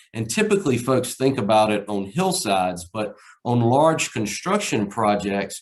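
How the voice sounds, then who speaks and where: A man with a Southside Virginia accent. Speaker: erosion control practitioner. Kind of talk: conference presentation. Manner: halting, many fillers and repetitions.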